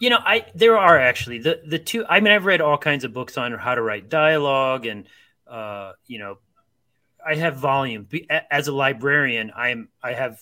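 Here a man speaks in a Midwestern American accent. His tone is bright and sharp, and his intonation is lively. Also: moderate pace. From US Midwest, Akron, Ohio. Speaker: author and librarian. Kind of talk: casual chat.

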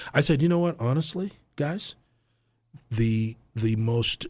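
Intonation from this man is lively. A somewhat breathy quality runs through his voice. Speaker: football coach and Bible teacher. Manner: informal, halting, repeats words.

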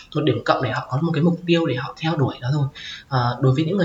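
Speech comes at a very fast pace with ordinary pitch variation, over noticeable background noise. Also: woman. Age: 20s. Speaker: transgender student sharing coming-out story. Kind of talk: interview. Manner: halting.

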